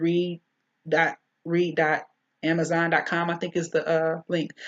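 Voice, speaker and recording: A woman speaks with an American accent at a fairly slow pace. Her voice sits at a fairly low pitch. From US Midwest, Detroit, Michigan. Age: 40s. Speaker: YouTube channel host. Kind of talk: monologue vlog commentary. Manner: halting, many fillers.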